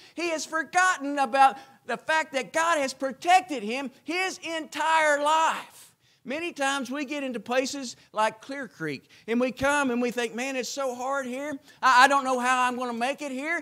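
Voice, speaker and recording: A man's raised, projected voice, extremely high pitch, bright, sharp tone, ordinary pitch variation and moderate pace, over a quiet background. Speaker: preacher. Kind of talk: chapel sermon.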